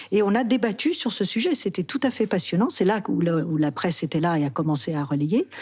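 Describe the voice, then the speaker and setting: A woman with an unremarkable speaking voice talks at a fairly quick pace in a fairly low pitch. Her intonation is lively. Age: 60s. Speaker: actress. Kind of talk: interview.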